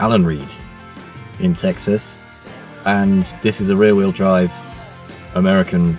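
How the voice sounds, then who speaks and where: A man speaks in a British accent with ordinary pitch variation. Music plays in the background. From Britain. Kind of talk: casual talk to camera.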